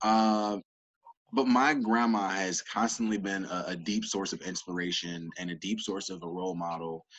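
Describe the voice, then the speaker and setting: Fairly low male voice with ordinary pitch variation, music in the background. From US South (Georgia), moved to Illinois at ten. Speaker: entrepreneur, sales coach. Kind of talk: podcast interview.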